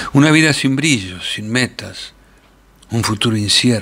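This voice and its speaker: The pace is fairly slow. Pitch varies an ordinary amount. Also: man. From Argentina. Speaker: actor. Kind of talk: short story reading.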